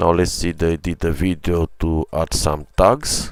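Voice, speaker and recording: A man's very deep, low voice at a fairly slow pace. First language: not English. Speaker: gaming streamer. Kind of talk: live stream commentary. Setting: live stream. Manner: halting, many fillers.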